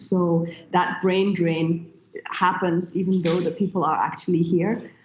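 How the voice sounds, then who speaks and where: A woman speaks in a German accent at a moderate pace. Her pitch is medium and her voice is somewhat breathy. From Nigeria. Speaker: tech entrepreneur. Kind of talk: panel discussion.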